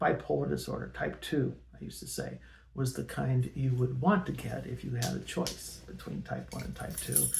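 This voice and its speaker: Noticeable background noise behind a man's moderately paced speech in an American accent. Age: 60s. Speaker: personal storyteller. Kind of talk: personal testimony. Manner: halting, many fillers. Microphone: poor original audio, amplified in edit.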